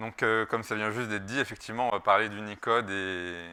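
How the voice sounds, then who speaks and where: A man with a fairly low pitch and a bright, sharp tone keeps his intonation fairly even. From France. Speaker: security researcher. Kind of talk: conference talk. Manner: halting, many filler sounds.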